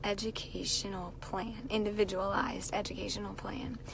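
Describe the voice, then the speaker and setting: Audible room echo and noticeable background noise surround the voice in this clip. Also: woman. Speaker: teacher and live-stream vlogger. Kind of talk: casual live stream chat. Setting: in a car.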